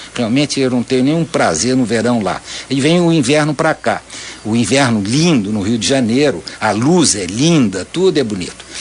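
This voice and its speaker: A man with a medium pitch and lively intonation speaks through noticeable background noise. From Santa Catarina, Brazil. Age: 70s. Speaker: visual artist. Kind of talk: radio interview. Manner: halting, many self-repetitions.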